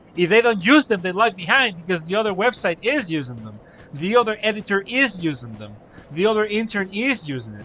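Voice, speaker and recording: A man's bright, sharp, high-pitched voice, raised and projected, at a fairly quick pace with lively intonation and big swings in loudness. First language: Spanish. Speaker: gaming streamer. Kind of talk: live stream commentary. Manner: casual, stammering.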